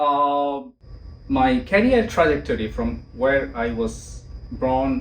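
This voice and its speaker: Amid audible room echo, a man with a Bangladeshi accent speaks at a very slow pace. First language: Bengali. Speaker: engineering professor. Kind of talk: interview. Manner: halting.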